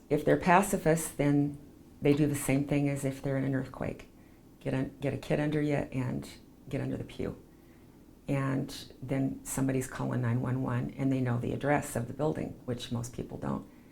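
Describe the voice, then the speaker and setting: In a Western US accent, the speaker holds a moderate pace and fairly even intonation. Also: woman, very deep, low pitch for a woman. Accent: Western American. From Provo, Utah. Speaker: chaplain and PR business owner. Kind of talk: oral history interview answer.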